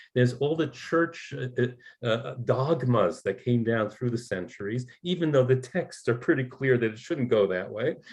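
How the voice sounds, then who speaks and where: Against a quiet background, a man with an American accent speaks at a moderate pace and medium pitch, somewhat breathy, with ordinary pitch variation. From New York. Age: 60s. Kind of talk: talk show interview. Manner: halting, many repetitions and fillers.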